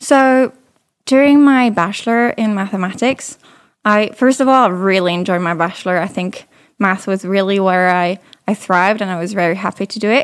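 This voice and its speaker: A woman with a slight British accent, on a very clean recording with a silent background. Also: medium pitch for a woman, ordinary pitch variation, moderate pace. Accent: slight British-tinged English. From France, Paris. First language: French. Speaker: data scientist and consultant. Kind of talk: interview.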